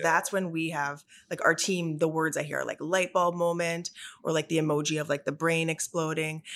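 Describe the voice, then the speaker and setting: A woman with a normal speaking voice, at a fairly quick pace. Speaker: podcast host, salon education director. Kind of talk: interview, casual chat.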